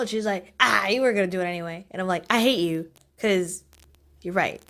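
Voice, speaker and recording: A woman speaks at a medium pitch. Her pitch variation is ordinary. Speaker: amateur digital artist. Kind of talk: casual rambling commentary over a speedpaint. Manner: chatty, rambling.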